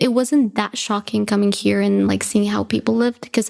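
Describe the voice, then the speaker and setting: The recording is very clean with a silent background. On it, a woman speaks with a Spanish accent. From Bolivia (La Paz). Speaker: graduate student in aerospace engineering. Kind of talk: podcast interview.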